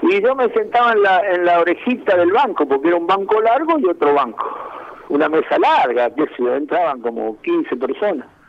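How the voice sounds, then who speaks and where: Against noticeable background noise, a man speaks at a moderate pace with a high pitch, very wide pitch swings, and very even loudness. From Argentina, Santa Fe province (Santo Tomé). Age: 60s. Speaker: former footballer. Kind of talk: interview.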